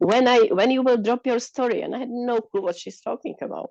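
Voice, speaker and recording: A woman with a non-native accent speaks in a dark, mellow tone with vocal fry. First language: not English. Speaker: participant. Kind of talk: group sharing in online talk. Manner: halting.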